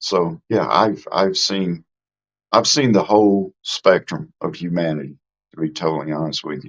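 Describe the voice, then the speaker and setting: At a moderate pace, a man with a Mississippi accent speaks in a very deep, low pitch. His pitch varies in an ordinary way, and his loudness swings widely. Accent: Southern US (Mississippi). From US South, Mississippi. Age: 60s. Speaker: live streamer, YouTube host. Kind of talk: casual live stream chat. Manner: informal, folksy.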